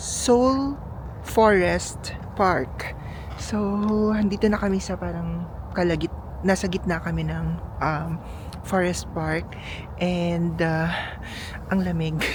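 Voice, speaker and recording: A woman speaks at a very slow pace with long, frequent pauses. Noticeable background noise and audible room echo surround her voice. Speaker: travel vlogger. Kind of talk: casual vlog narration. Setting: outdoors. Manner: animated; halting.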